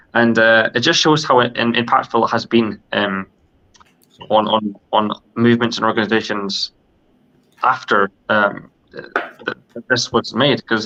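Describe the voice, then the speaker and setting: Fairly slow and fairly even in intonation, a man talks at a medium pitch with a bright, sharp tone. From Scotland. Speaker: podcast co-host. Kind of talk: casual discussion. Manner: halting, many fillers.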